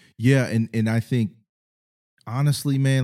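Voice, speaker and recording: Here a man with an American accent speaks at a moderate pace in a dark, mellow tone. The sound is dry and close with no echo. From Ohio, US Midwest. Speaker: podcast co-host. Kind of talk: casual chat.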